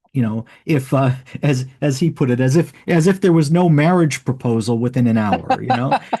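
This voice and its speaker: This man's voice is somewhat breathy, with a dark, mellow tone. His loudness stays very even throughout. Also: medium pitch for a man, ordinary pitch variation, moderate pace. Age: 60s. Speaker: author and podcast host on early church. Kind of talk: interview. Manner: halting, many repetitions and fillers.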